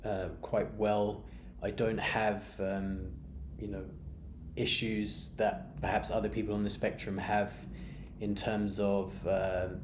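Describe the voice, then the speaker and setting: Speaking very slowly with long, frequent pauses, a man with a fairly low pitch is heard with audible room echo. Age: 30s. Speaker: beer vlogger. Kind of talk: personal monologue. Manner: monotone; halting, many fillers and repeats.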